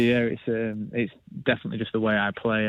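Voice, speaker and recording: In a northern English accent, a man speaks at a fairly low pitch and a fairly quick pace. His intonation is monotone and flat. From northern England. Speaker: professional footballer. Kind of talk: radio interview.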